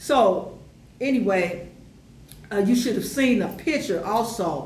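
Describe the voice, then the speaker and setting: With lively intonation and a fairly high pitch, a woman speaks at a fairly slow pace amid noticeable background noise and audible room echo. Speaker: YouTube educator on African history. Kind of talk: casual commentary monologue. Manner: animated, many fillers.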